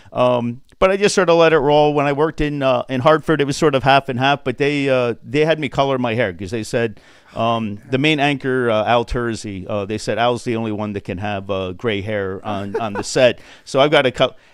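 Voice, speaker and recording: A man with an American accent talks at a fairly quick pace in an unremarkable speaking voice. His pitch is medium, with ordinary variation. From Connecticut. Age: 60s. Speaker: sports broadcaster. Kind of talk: casual chat.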